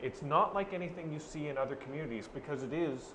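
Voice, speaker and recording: A man talks at a very fast pace. Room echo is audible, along with noticeable background noise. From Ireland. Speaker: newspaper reporter. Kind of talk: casual chat.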